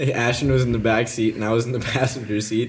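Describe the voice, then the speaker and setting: A man with an American accent and an unremarkable speaking voice, medium in pitch, at a fairly quick pace. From Minnesota (Breckenridge). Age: young (19). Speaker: college student. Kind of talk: casual chat.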